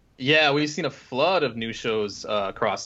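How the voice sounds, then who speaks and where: A man talks at a moderate pace, his pitch moving in an ordinary way, while noticeable background noise fills the recording. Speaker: podcast co-host. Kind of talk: casual chat.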